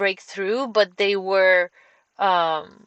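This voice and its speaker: A woman with a Romanian accent speaks very slowly at a medium pitch with fairly even intonation against a quiet background. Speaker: caver. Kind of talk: presentation talk. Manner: halting, many fillers.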